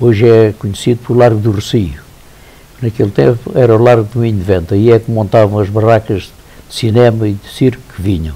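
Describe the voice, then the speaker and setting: A man talks fairly fast while noticeable background noise plays behind him. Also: medium pitch for a man, ordinary pitch variation. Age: 80s+. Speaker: elderly local resident recounting memories. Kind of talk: interview, personal reminiscence. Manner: halting, with repetitions.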